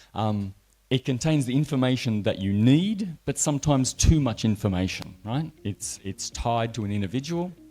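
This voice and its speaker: A man's dark, mellow voice in an Australian accent, with lively intonation at a moderate pace. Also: medium pitch for a man. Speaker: network engineer and trainer. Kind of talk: conference presentation.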